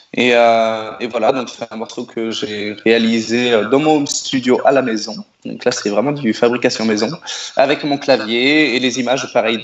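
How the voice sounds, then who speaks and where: Moderate pace and fairly even intonation, in a man's medium pitch. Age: 30s. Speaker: singer-songwriter. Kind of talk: radio interview. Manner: hesitant, many repetitions.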